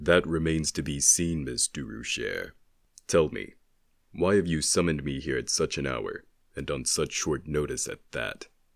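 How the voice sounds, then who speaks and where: This man uses a put-on character voice. It sits very deep and low in pitch. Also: moderate pace, very clean recording, silent background. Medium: audio drama. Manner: measured, terse, solemn.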